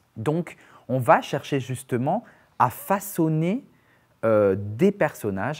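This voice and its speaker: The pitch of this man's voice swings very widely. He speaks very slowly against a quiet background. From Perpignan, southern France; France. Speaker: actor, dancer and playwright; actor. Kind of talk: casual interview chat. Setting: studio. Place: studio. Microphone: lapel.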